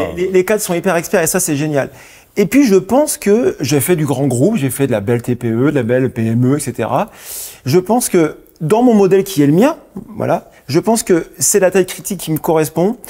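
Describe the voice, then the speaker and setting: Delivered at a fairly quick pace with a northern French accent, the voice swings very widely in pitch. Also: man, high pitch for a man. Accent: northern French (Lille). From northern France, Lille. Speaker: company founder. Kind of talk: TV interview. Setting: TV studio. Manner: stumbling over words.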